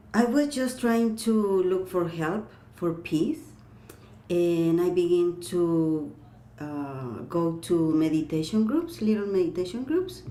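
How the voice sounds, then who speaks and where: Heard with audible room echo, a speaker with a non-native accent talks very slowly using lively intonation. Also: woman. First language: not English. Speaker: clairvoyant and energy healer. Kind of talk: interview. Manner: halting.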